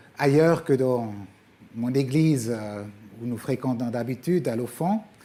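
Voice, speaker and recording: In a Swiss German accent, a man speaks with a dark, mellow tone at a medium pitch. His pace is fairly slow, and his pitch varies in an ordinary way. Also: long, frequent pauses. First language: Swiss German (speaking French). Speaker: guest preacher, former missionary. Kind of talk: sermon. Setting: church. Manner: hesitant, many fillers.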